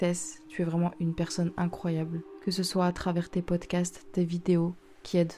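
With monotone, flat intonation, this woman keeps her voice at a fairly low pitch. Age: 20s. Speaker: podcaster and writer. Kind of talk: personal monologue.

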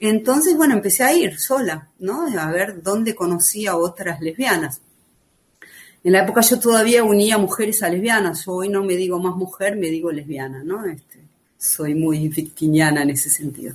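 This woman's voice sits at a medium pitch and sounds somewhat breathy. Her intonation is lively and her pace moderate. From Argentina, Buenos Aires. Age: 50s. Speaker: writer and former activist. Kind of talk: podcast testimony.

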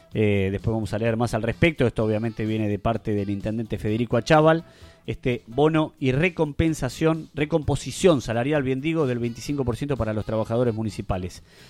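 A man speaks in a Rioplatense accent at medium pitch. His pace is fairly quick, with ordinary pitch variation. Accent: Argentine Rioplatense Spanish. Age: 30s. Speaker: radio host. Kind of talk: live radio show chat. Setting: radio studio.

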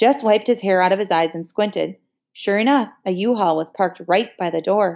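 The background is quiet. A natural reading voice carries ordinary pitch variation.

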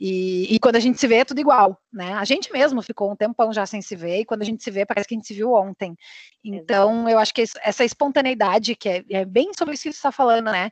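Against a quiet background, a woman talks very fast in a fairly high pitch, the sound dry and close with no echo. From southern Brazil, Porto Alegre. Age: 30s. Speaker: podcast co-host. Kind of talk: casual chat.

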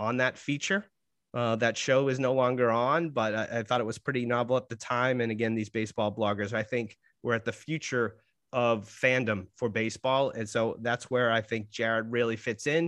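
In an ordinary speaking voice, a man talks at a moderate pace. His pitch sits at a medium level, and his intonation stays fairly even. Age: 50s. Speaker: podcast host and marketing lecturer. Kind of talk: interview podcast hosting.

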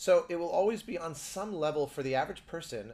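This is a plain, everyday voice. It carries an American accent. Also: man. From United States. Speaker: composer and podcast co-host. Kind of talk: casual chat. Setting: remote call from a hotel room.

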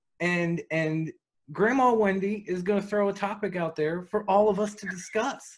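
The man speaks at a moderate pace in a high pitch. His intonation stays fairly even. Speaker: podcast co-host.

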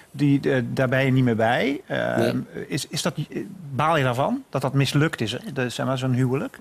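There is noticeable noise in the background. A man talks at a moderate speed. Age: 40s. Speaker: podcast interviewer. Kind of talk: interview.

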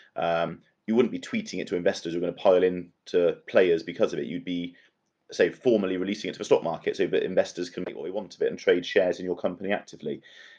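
A man with a West Country accent talks at a very fast pace. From Bristol, south-west England. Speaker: marketing and communications professional. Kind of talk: casual chat.

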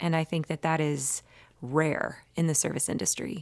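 In a plain, everyday voice, a woman speaks fairly slowly at a fairly low pitch. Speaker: psychotherapist. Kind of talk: casual group conversation.

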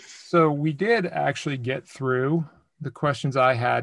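On a very clean recording with a silent background, a man with an ordinary speaking voice speaks at a medium pitch with ordinary pitch variation. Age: 40s. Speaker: podcast host. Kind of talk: podcast interview.

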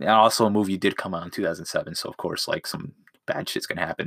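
A bright, sharp tone in a dry, close sound with no echo. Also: man. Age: young. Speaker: podcast host. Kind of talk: casual chat. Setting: in a closet. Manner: halting.

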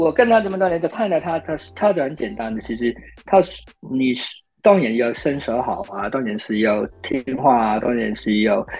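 A man at a medium pitch talks at a moderate pace with very wide pitch swings. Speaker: film action choreographer. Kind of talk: interview. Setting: remote call.

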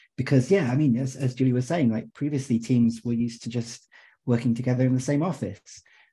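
A man speaks very fast at a medium pitch with fairly even intonation. His tone is dark and mellow, and somewhat breathy. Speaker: software company representative. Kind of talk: panel discussion. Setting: video call.

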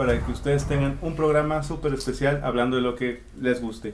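Fairly quick delivery with fairly even intonation and audible room echo. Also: man. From South America. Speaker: podcast host. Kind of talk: casual chat.

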